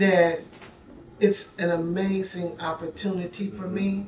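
A woman with a Southern US accent speaks at a very slow pace and medium pitch. Her intonation is fairly even over noticeable background noise. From Memphis, Tennessee. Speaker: mayoral candidate, city councilwoman. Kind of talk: interview.

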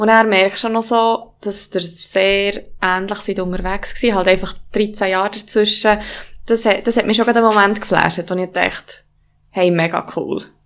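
A woman with a medium pitch talks in a monotone, flat way at a moderate pace. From Swiss mountain valley (Valais). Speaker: yoga teacher and business partner. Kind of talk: casual conversation.

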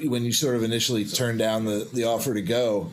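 Over noticeable background noise and audible room echo, a man speaks at a moderate pace in a medium pitch. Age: 50s. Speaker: podcast host. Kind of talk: casual chat. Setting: studio.

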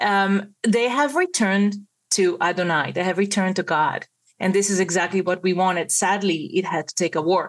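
With an Israeli accent, a woman keeps her loudness very even. The background is quiet. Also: medium pitch for a woman, ordinary pitch variation, moderate pace. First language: Hebrew. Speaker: Messianic believer sharing a vision. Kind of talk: testimony. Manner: halting.

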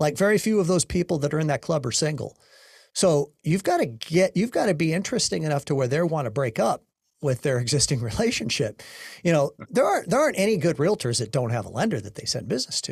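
Very fast, somewhat breathy speech from a man with a fairly high pitch and very wide pitch swings, recorded very clean and dry, close with no echo against a silent background. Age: 50s. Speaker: podcast host, mortgage coach. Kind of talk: interview.

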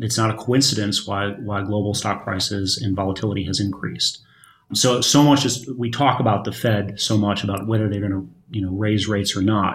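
An American-accented man speaks at a fairly low pitch and a fairly quick pace, somewhat breathy. His intonation stays fairly even, and the recording is very clean with a silent background. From Michigan. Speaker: volatility fund manager. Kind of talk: panel discussion. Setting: studio at a conference. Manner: repeats words, halting.

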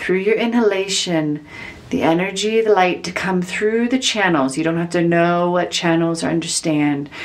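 A woman speaks at a fairly slow pace, her pitch fairly low and its variation ordinary. Her tone is calm and soothing, with noticeable background noise behind her. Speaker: spiritual healer leading meditation. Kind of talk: guided meditation. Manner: slow, soft, calm with long pauses; soothing, gentle, instructive.

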